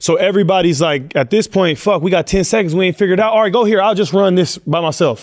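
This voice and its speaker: With an American accent, a high-pitched man talks very fast, barely pausing, his loudness very even throughout. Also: ordinary pitch variation. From Oakland, California. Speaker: NBA basketball player. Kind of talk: casual interview.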